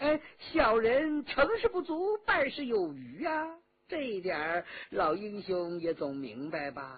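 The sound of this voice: Using a put-on character voice, a man talks in a high pitch with a slightly husky edge, lively intonation, and few pauses. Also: fairly slow pace.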